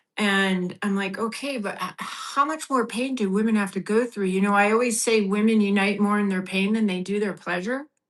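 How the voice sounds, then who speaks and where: A woman in a plain, everyday voice at medium pitch, with fairly even intonation, a moderate pace and hardly any pauses. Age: 60s. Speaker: women's empowerment coach. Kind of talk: interview. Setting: live video stream.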